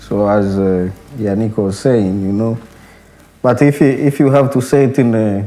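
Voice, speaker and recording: This man has a dark, mellow tone at a medium pitch. His pace is moderate and his intonation fairly even. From DR Congo. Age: young. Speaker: monk in training. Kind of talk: interview testimony. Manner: halting, many fillers.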